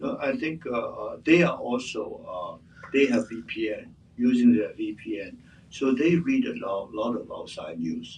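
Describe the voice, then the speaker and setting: A man with a Chinese accent speaks at a fairly slow pace. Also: big swings in loudness. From Hong Kong, born in Shanghai. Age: 70s. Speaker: exiled businessman and activist. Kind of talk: interview answers at press event. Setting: room with live audience. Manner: hesitant, frequent uh fillers.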